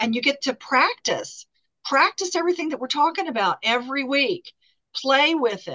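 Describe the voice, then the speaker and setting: Raised and projected, a woman's high-pitched voice has a bright, sharp tone and lively intonation at a moderate pace, with a dry, close sound and no echo. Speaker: workshop facilitator. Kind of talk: interactive group workshop. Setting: video call.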